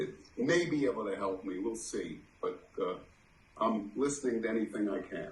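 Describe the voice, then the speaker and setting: A man's lively intonation, with audible room echo. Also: medium pitch for a man, moderate pace. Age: 70s. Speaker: study group participant. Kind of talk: casual chat. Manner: halting.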